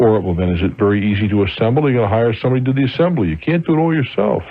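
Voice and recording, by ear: A man at medium pitch, with lively intonation and a very fast pace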